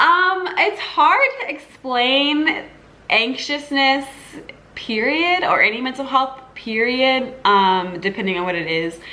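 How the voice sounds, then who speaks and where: Her pitch is high, and it swings very widely. The woman speaks at a very slow pace with audible room echo. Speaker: lifestyle YouTuber. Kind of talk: casual Q&A vlog. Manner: halting, many fillers and restarts.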